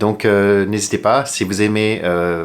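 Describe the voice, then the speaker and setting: A man's very deep, low voice moves with ordinary pitch variation. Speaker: flight attendant YouTuber. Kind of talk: casual tutorial. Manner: unedited, with hesitations.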